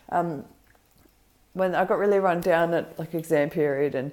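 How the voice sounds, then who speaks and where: Heard in a very clean recording with a silent background, this dark, mellow voice has an Australian accent and ordinary pitch variation. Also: woman. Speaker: vlogger. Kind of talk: casual vlog. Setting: home kitchen. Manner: hesitant, many ums.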